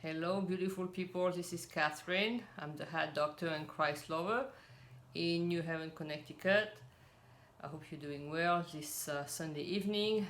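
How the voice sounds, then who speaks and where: A woman with a French accent talks in a relaxed tone at a fairly low pitch with ordinary pitch variation, and the room echo is audible. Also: moderate pace. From French; raised in Cameroon and South Pacific. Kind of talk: casual religious talk.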